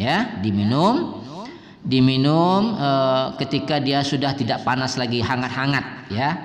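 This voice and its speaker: Over noticeable background noise, the voice moves at a very slow pace with lively intonation. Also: man. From Indonesia (West Sumatra). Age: 60s. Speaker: Quran reciter and teacher. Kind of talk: religious talk, giving health advice.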